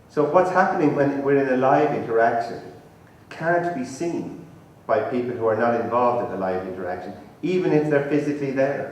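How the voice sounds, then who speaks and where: A man with an Irish accent and lively intonation, set against noticeable background noise and audible room echo. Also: medium pitch for a man, fairly quick pace. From Ireland, Tipperary. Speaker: professor, conference speaker. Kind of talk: lecture. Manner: conversational, informal.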